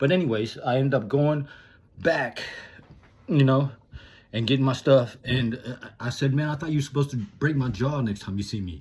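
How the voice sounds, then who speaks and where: A somewhat breathy man's voice at medium pitch, with ordinary pitch variation and long, frequent pauses. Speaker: motivational vlogger. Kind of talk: casual monologue. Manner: halting, stuttering; fast.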